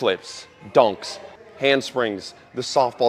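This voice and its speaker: Over music in the background, a man speaks in an animated tone with ordinary pitch variation. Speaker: strength coach. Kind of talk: casual vlog monologue in gym. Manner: loud.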